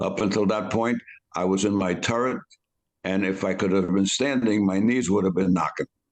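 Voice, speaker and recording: A New York accent, with fairly even intonation, very even loudness and a moderate pace. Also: man, fairly low pitch for a man. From New York City, the Bronx. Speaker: war veteran. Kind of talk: interview storytelling. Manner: halting.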